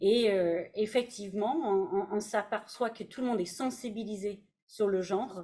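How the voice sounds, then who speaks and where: The speaker is a woman with a dark, mellow tone. Her intonation stays fairly even. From Canada. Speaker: HR director. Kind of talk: panel discussion. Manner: hesitant, many fillers.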